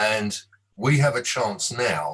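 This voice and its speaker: A man talks at a very slow pace. His medium-pitched voice carries vocal fry. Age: 60s. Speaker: devotional speaker. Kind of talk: devotional talk.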